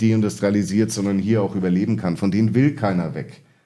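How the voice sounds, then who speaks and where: A man's voice with ordinary pitch variation. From Munich, Bavaria. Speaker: management consultant. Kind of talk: interview. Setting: studio, in person. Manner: hesitant, many filler sounds.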